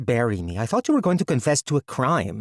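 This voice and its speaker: A man growls in a put-on character voice at a medium pitch and a fairly quick pace. The recording is very clean, with a silent background. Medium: read story. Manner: blunt, straightforward.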